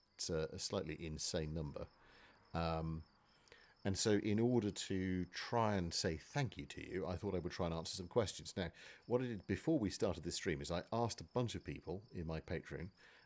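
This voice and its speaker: In a very clean recording with a silent background, a man with a British accent and a very deep, low pitch speaks at a moderate pace. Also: ordinary pitch variation. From Britain. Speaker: gaming streamer. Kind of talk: live stream Q&A while gaming. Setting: live stream.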